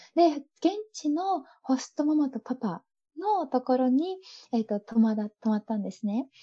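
Against a quiet background, a woman speaks at a moderate pace in a high, dark, mellow tone. Her pitch swings very widely, and the sound is dry and close with no echo. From Japan. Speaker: owner of an import business. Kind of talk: casual interview. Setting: video call.

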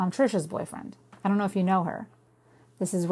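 The clip is plain reading aloud. A speaker delivers the words as plain reading aloud.

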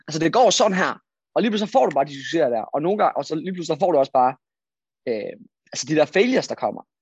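A man's high voice with very wide pitch swings, a very fast pace and long, frequent pauses. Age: 20s. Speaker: freelance marketer. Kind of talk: interview.

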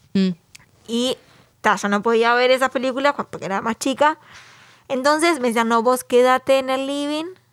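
A woman's high voice, moderate in pace with long, frequent pauses and ordinary pitch variation, dry and close with no echo. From Uruguay. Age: 30s. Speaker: podcast co-host. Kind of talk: casual chat.

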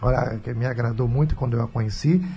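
With music playing in the background, a man's speech shows ordinary pitch variation. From Brazil, Rio de Janeiro. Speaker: radio host and pastor. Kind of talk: radio talk show. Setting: radio studio.

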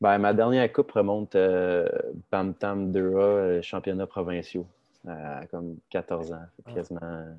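Very deep and low, a man's voice moves at a very slow pace with fairly even intonation and big swings in loudness. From Quebec, Laurentides (Saint-Eustache area). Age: 30s. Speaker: professional hockey player. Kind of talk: casual interview.

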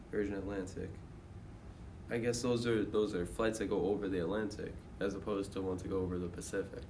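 A somewhat breathy man's voice, fairly low in pitch, at a fairly quick pace with fairly even intonation and long, frequent pauses. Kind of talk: casual group chat.

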